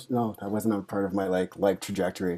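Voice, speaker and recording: A man's very deep, low voice with a dark, mellow tone at a very fast pace. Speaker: social worker. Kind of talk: casual chat. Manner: soft-spoken.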